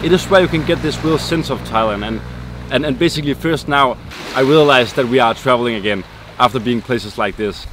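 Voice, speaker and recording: A man with a Danish accent at a very fast pace, medium pitch and ordinary pitch variation, over noticeable background noise. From Denmark. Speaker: travel vlogger. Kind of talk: casual talk to camera.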